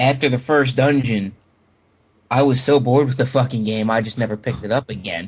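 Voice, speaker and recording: In a somewhat breathy voice, this man talks at a fairly quick pace. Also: medium pitch for a man. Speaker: podcast host. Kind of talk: casual chat. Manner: halting, stammering repeats.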